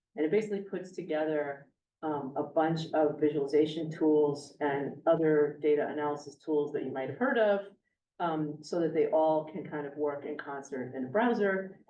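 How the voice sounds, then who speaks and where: A woman speaks with a very deep, low pitch. Audible room echo surrounds her voice. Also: ordinary pitch variation. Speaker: astronomy professor. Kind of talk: lecture. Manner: fast.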